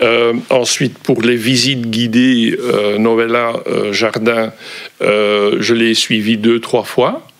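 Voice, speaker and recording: Speaking at a very slow pace, a man of medium pitch keeps a monotone, flat intonation and very even loudness. Noticeable background noise is present. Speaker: volunteer. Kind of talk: interview. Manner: hesitant, many fillers.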